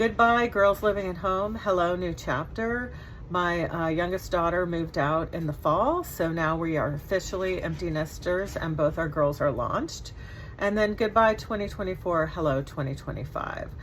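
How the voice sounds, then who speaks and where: Against noticeable background noise, a woman with a fairly low voice speaks at a moderate pace with ordinary pitch variation. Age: 60s. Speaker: scrapbooking hobbyist. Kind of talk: casual chat. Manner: chatty.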